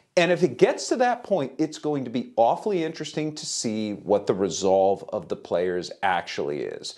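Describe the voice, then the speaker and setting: A man talks at a moderate pace with hardly any pauses. The background is quiet. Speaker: baseball reporter. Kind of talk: interview analysis. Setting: remote video link. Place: home room.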